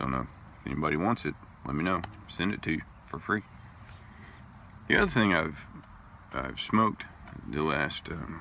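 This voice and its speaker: A man with a very deep, low voice and vocal fry speaks at a moderate pace with lively intonation. His tone is bright and sharp, broken by long, frequent pauses. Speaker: pipe tobacco reviewer. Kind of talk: casual video review. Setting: outdoors at a park.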